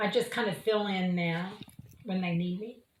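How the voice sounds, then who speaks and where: Someone speaks with an American accent in a space with audible room echo. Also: woman. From Oklahoma City. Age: 60s. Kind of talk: interview testimony. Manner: hesitant with fillers.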